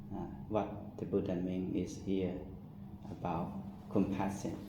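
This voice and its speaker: Audible room echo surrounds a man speaking fairly slowly with a non-native accent. His fairly low voice is somewhat breathy, with a dark, mellow tone. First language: not English. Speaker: Buddhist monk. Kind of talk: dharma talk. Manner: halting.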